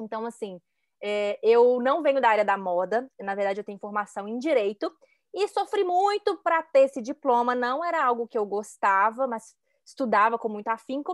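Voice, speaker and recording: A woman's fairly high voice at a moderate pace, with lively intonation and a dry, close sound without echo on a very clean recording with a silent background. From Belo Horizonte, Minas Gerais, Brazil. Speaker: image consultant. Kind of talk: casual chat.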